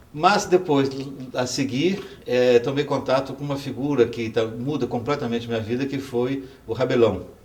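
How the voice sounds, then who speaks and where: Over noticeable background noise, a man of medium pitch talks at a moderate pace with ordinary pitch variation. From Brazil, Goiás (Itaberaí). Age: 60s. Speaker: professor and former student activist. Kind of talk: oral history testimony. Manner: halting, with fillers.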